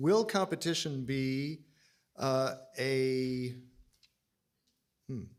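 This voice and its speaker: Here a man talks at a very slow pace with an American accent. His speech has long, frequent pauses. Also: medium pitch for a man, ordinary pitch variation. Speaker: interviewer. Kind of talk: interview.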